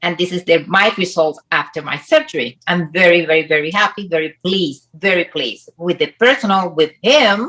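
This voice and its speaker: A woman's pitch varies in an ordinary way as she talks at a moderate pace. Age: 60s. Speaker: plastic surgery patient, personal trainer. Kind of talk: interview. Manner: halting non-native phrasing.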